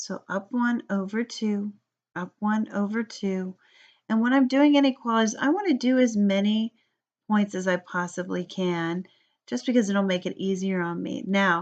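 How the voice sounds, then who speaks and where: Over a quiet background, a woman with an unremarkable speaking voice talks at a moderate pace and medium pitch, showing ordinary pitch variation. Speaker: math teacher. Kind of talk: tutorial.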